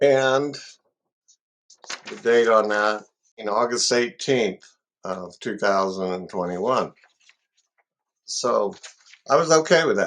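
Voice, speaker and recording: Speaking at a very slow pace with long, frequent pauses, a man uses lively intonation at a medium pitch. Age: 70s. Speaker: consumer making a complaint. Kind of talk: consumer complaint testimony. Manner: halting, many fillers.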